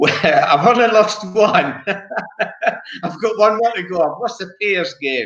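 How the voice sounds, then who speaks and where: Fairly slow speech from a high-pitched man with a Scottish accent, broken by long, frequent pauses. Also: lively intonation. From Scotland. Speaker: bowls player, former world champion. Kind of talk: casual chat.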